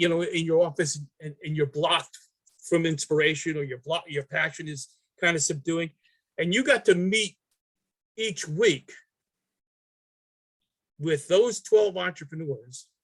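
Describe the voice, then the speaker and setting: In a New York accent, a man speaks at a high pitch and a fairly slow pace. The sound is dry and close, with no echo. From New York City. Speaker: artist. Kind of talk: interview answer.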